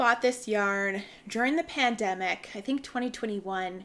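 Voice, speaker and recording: A woman with an unremarkable speaking voice, ordinary pitch variation and a moderate pace, in a very clean recording with a silent background. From Canada. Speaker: knitting podcaster. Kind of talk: casual chat. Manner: chatty, with filler ums.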